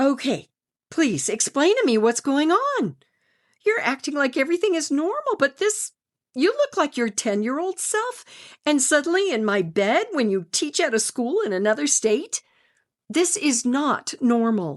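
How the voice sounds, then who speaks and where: A woman, using a put-on character voice, talks high in pitch and swings it very widely. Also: moderate pace. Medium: read story.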